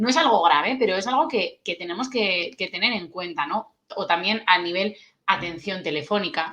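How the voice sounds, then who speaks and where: With a Basque accent, a woman speaks at a moderate pace and medium pitch, her tone bright and sharp and her intonation lively. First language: Basque (speaking Spanish). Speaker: tourism UX consultant. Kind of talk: interview. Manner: casual.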